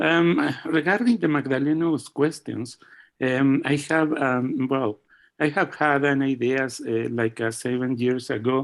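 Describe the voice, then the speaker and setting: Loudness stays very even as a man speaks with a Spanish accent. His pitch is fairly high and his pace fairly slow. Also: ordinary pitch variation. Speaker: physicist asking a question. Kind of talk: seminar Q&A. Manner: halting, many fillers.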